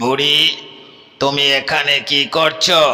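In a cartoonish character voice, a woman speaks with a very deep, low pitch. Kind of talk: children's cartoon storytelling.

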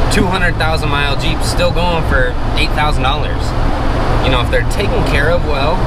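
A man's voice, dry with no echo, against loud background noise. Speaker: car vlogger. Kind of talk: casual vlog chat. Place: car. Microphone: phone near.

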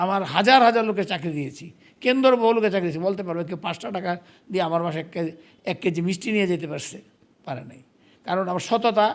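This man has a high pitch and ordinary pitch variation. His loudness swings a great deal. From Netrokona, Bangladesh. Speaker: politician and marketing executive. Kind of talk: interview.

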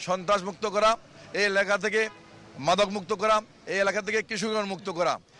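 A man's raised, projected voice, high in pitch, with monotone, flat intonation. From Bangladesh, Dhaka. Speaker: independent parliamentary candidate. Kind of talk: campaign speech to reporter.

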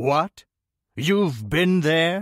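A man's put-on character voice, fairly high in pitch with lively intonation, dry and close with no echo. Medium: read story. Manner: cold, guarded.

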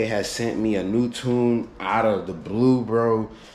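A man speaks in a flat monotone. Audible echo fills the room. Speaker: car vlogger. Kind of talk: casual vlog chat. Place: garage. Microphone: phone near.

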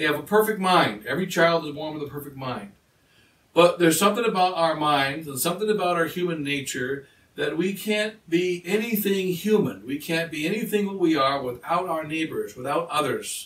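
Pitched high, a man's voice moves at a fairly quick pace with ordinary pitch variation. Audible room echo surrounds it. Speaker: priest. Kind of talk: sermon. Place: home room. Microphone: camera far.

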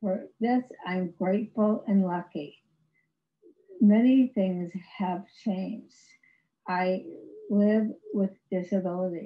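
Against a quiet background, a woman speaks at a very slow pace in a somewhat breathy voice, with ordinary pitch variation and long, frequent pauses. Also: medium pitch for a woman. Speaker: stroke survivor and author, former professor. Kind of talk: prepared personal testimony presentation. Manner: halting, effortful speech due to aphasia. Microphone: video call.

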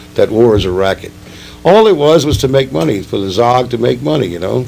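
His pitch swings very widely as a man talks at a fairly quick pace. Light background noise sits behind him. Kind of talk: interview answer. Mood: angry, emphatic. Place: studio.

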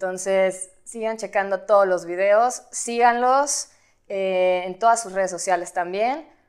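A woman at a very slow pace, with ordinary pitch variation and big swings in loudness. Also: quiet background. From Guadalajara, Mexico. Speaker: model and actress. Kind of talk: interview. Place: studio.

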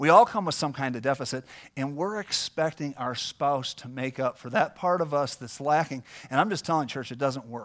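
Against a quiet background, a man talks at a moderate pace in a fairly high voice, with ordinary pitch variation and big swings in loudness. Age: 40s. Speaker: pastor. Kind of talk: sermon. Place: church.

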